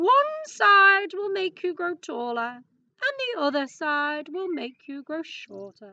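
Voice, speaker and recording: Using a put-on character voice, a woman talks at a fairly slow pace with an extremely high pitch. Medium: read story. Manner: curt, decided.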